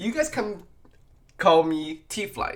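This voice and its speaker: With a slight non-native accent, a man speaks very slowly, his pitch swinging very widely. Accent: slight foreign. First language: not English. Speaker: podcast host. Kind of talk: casual monologue. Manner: halting.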